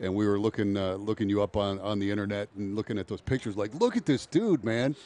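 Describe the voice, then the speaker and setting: A man with an American accent speaks at a fairly quick pace in a dark, mellow tone with a fairly low pitch, and the sound is dry with no echo. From Michigan, Downriver Detroit; Michigan. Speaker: radio host. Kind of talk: radio interview. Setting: on location at training camp. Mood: jovial, joking. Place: tent. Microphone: headset.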